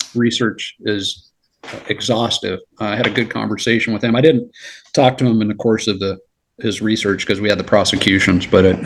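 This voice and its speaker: Here is a man with an ordinary speaking voice and an American accent, pitched fairly low. He talks at a fairly quick pace with fairly even intonation. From Los Angeles, California. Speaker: retired federal agent. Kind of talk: casual chat.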